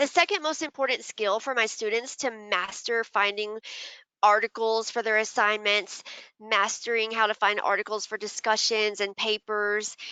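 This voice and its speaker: Her voice is a plain, everyday voice. This woman talks at a fairly high pitch with fairly even intonation. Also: moderate pace. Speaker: university librarian. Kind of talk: webinar tutorial.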